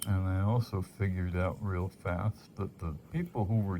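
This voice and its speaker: A man talks at a fairly slow pace. His voice is fairly low in pitch and somewhat breathy. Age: 60s. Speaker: amateur rock collector. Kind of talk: casual monologue. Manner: halting.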